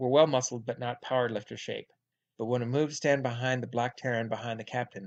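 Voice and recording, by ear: Over a quiet background, the speaker reads aloud in a natural voice with fairly even intonation.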